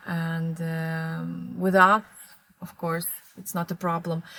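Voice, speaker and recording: A woman's bright, sharp voice, fairly low in pitch, on a very clean recording with a silent background. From Moldova. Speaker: fashion marketing manager. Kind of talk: interview answer.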